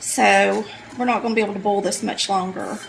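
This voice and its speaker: Over noticeable background noise, a woman speaks with a Southern US accent. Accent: Southern US (Georgia). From Polk County, Georgia, US. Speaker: home cook, cooking channel host. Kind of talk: casual cooking tutorial talk to camera.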